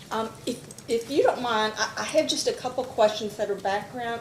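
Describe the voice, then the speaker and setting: Noticeable background noise sits behind a woman speaking at a moderate pace. Her intonation stays fairly even. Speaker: staff attorney. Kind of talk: witness cross-examination.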